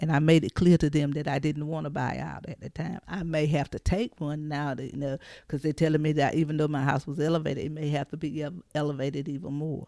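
Speaking very fast with hardly any pauses, a woman with an eastern North Carolina accent keeps a very deep, low pitch and a flat, monotone intonation. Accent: Southern US, eastern North Carolina. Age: 60s. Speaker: flood survivor. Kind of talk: testimony.

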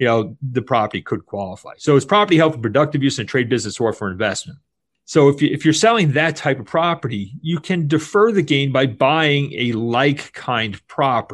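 A man speaks fairly quickly with hardly any pauses, his pitch fairly high and his intonation lively. It is a normal speaking voice over a quiet background. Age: 50s. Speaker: tax exchange facilitator, former attorney. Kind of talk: interview.

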